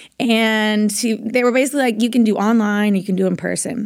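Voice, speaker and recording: A woman uses a normal speaking voice at a fairly quick pace with fairly even intonation. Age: 20s. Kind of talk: interview. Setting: in Austin.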